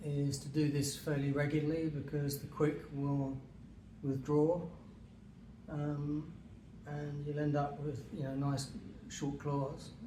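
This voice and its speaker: In a relaxed tone, a man speaks very slowly, with long, frequent pauses and a monotone, flat intonation. His pitch is fairly high, and there is noticeable background noise. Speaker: dog owner. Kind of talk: casual how-to demonstration. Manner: hesitant, relaxed, with many fillers.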